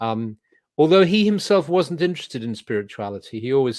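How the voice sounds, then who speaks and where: Talking at a very fast pace, a man with a southern English accent uses ordinary pitch variation. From England. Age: 70s. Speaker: druid leader and spiritual teacher. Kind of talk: interview. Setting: video call. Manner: halting, with many repetitions.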